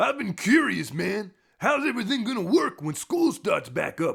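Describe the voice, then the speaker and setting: A man's put-on character voice at a moderate pace, with very wide pitch swings. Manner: laid-back.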